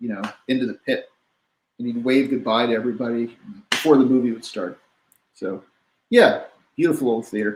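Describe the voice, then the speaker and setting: A man at medium pitch speaks at a fairly quick pace with ordinary pitch variation. He takes long, frequent pauses. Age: 60s. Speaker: jazz bassist. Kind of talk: casual chat.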